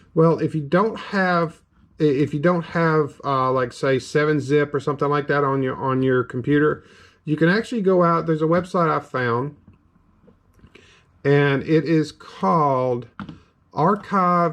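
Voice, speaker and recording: Against a quiet background, a man with a Southern US accent speaks fairly slowly at a fairly high pitch with ordinary pitch variation. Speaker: gaming YouTuber. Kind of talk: tutorial. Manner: casual, halting with fillers.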